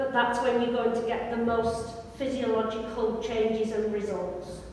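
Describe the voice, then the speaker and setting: A woman at a fairly slow pace amid strong room echo and light background noise. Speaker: fitness instructor. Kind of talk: exercise class instruction. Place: gym. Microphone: camera far.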